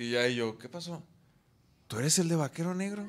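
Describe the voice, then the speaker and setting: A man with a fairly high voice speaks with lively intonation. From Guadalajara, Mexico. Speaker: podcast co-host, musician; podcast co-host. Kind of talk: casual chat. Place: studio. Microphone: studio mic.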